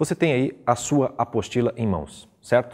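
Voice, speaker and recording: In a very clean recording with a silent background, a man talks with lively intonation in a dark, mellow tone at a medium pitch. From Brazil, Curitiba (Paraná). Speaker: teacher. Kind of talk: lecture.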